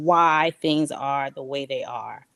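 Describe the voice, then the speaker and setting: Recorded dry and close with no echo, a woman speaks at a fairly slow pace. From New York, US (Queens), Liberian parents. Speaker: diaspora guest on talk show. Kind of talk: interview storytelling.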